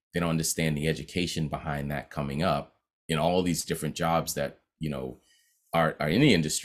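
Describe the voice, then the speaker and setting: A man's very deep, low voice with vocal fry and an American accent, at a fairly quick pace, on a very clean recording with a silent background. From Boston (Roxbury). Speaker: music composer and producer. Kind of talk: interview. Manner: casual, animated.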